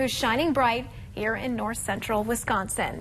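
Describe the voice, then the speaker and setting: Music plays behind a woman who talks at a fairly slow pace. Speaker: news anchor. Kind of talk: TV news anchor read.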